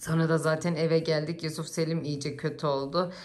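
Audible room echo surrounds a woman with a fairly low pitch. She speaks at a moderate pace. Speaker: family vlogger. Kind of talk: casual vlog to camera. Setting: at home.

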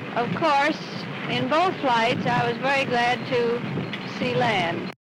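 A woman talks at a very slow pace while loud noise fills the background. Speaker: aviator. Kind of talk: interview answer. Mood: relaxed, smiling. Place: open country.

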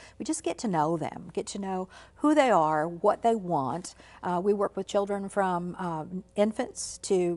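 A woman with an unremarkable speaking voice talks at a moderate pace, her fairly low pitch showing ordinary pitch variation. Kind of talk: interview answer. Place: studio.

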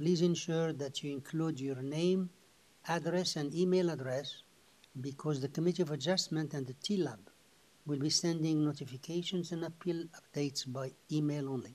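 A man's intonation stays fairly even as he talks at a moderate pace. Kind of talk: formal scripted meeting opening. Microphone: video call.

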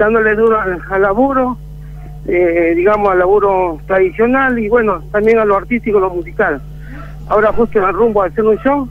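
There is noticeable background noise as a man with a high pitch speaks at a moderate pace with ordinary pitch variation. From Peru. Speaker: percussionist. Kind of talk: interview. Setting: phone call.

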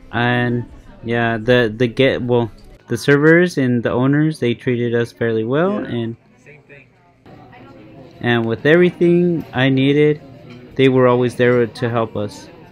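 There is faint music in the background as a man speaks at a fairly slow pace with ordinary pitch variation and long, frequent pauses. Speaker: food vlogger. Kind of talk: casual vlog chat. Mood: pleased, relaxed. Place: cafe. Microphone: phone near.

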